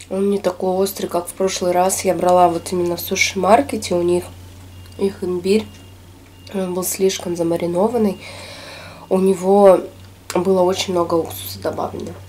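Long, frequent pauses break up speech delivered in a monotone, flat intonation. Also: woman, moderate pace. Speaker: food vlogger. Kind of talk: casual mukbang vlog chat. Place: home room.

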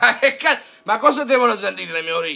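A man talks in an animated tone with lively intonation. His voice is raised and projected. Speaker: football YouTuber, Juventus fan; football YouTuber. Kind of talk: fan rant. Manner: animated, exasperated. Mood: mocking, sarcastic. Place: home room.

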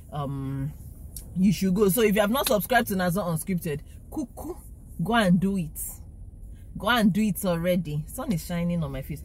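Her pitch fairly low and touched with vocal fry, a woman speaks with lively intonation over light background noise, the sound dry and free of echo. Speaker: vlogger driving. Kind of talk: casual vlog chat. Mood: frustrated, animated. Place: car. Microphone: phone near.

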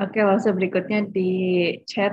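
The woman's voice is somewhat breathy, and her intonation is fairly even. She talks at a fairly quick pace against a quiet background. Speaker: webinar moderator. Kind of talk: moderating Q&A. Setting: video call. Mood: friendly, smiling. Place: home room. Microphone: video call.

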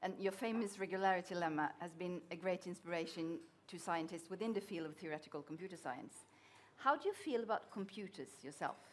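A woman talks at a fairly quick pace with a medium pitch and ordinary pitch variation. Light noise sits in the background. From Norway. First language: Norwegian. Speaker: journalist interviewer. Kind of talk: interview question. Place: hall.

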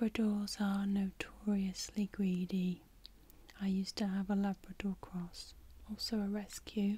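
A woman speaks at a fairly slow pace in a dark, mellow tone. Her voice is somewhat breathy, and her intonation is monotone and flat. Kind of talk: ASMR role-play talk to viewer. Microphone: studio mic.

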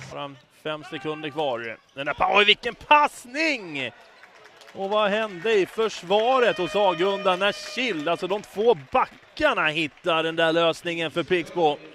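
Music plays behind a man who speaks at a fairly slow pace. His voice sounds dry, with no echo. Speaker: sports commentator. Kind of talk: live sports commentary (highlights reel voice-over). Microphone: headset.

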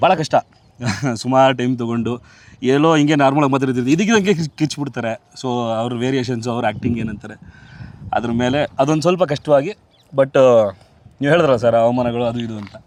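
His pitch is medium and varies in an ordinary way. This man uses an ordinary speaking voice. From Bengaluru, Karnataka. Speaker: film actor and dubbing artist. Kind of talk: casual interview.

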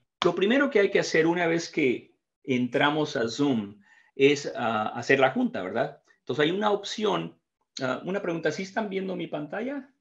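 A man at a high pitch with very wide pitch swings, a moderate pace and a quiet background. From Mexico. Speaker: training facilitator, IT professional. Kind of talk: tutorial. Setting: video call. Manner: halting. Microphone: video call.

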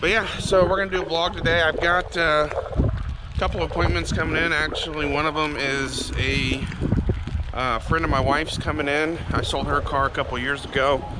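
A man at a fairly quick pace, ordinary pitch variation, noticeable background noise. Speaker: car salesman. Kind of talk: casual vlog chat. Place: street. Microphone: phone near.

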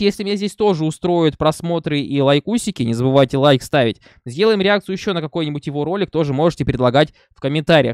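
A man speaking at a very fast pace, with lively intonation, a dry sound with no echo and a quiet background. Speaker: reaction video host. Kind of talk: casual vlog chat. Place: home room. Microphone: studio mic.

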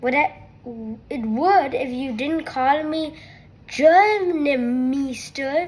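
Using a put-on character voice, a woman squeaks in a high pitch at a very slow pace. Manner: indignant, annoyed.

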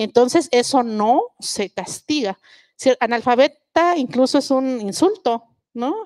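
A woman speaks at a high pitch with ordinary variation. The background is quiet. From southern Mexico, Mixe village in Oaxaca; Oaxaca, Mexico. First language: Mixe (speaking Spanish). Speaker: linguist and writer. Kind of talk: public talk on stage. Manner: frequent hesitations. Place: stage. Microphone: handheld.

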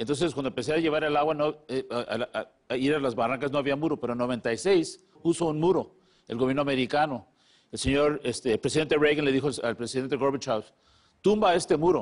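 A man speaks at a fairly high pitch with ordinary pitch variation against a quiet background. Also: fairly quick pace. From San Diego, California. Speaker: border humanitarian activist. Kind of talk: TV interview. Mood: earnest, emotional at end. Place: studio. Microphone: lapel.

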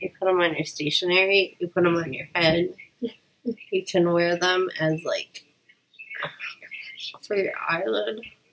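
A woman with a fairly low pitch speaks at a fairly slow pace, her tone fairly bright and her intonation fairly even, leaving long, frequent pauses.

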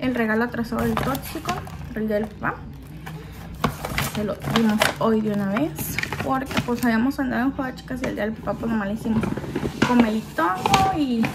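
A woman talks at a moderate pace with ordinary pitch variation and long, frequent pauses. Loud background noise runs underneath. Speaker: home vlogger. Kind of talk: casual vlog chat. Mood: relaxed, cheerful. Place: home room. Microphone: phone near.

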